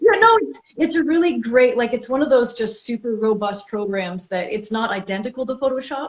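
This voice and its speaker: A woman speaks at a fairly quick pace with a Canadian accent, her high-pitched voice moving in lively intonation with hardly any pauses. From Canada. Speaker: author and illustrator. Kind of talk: casual chat.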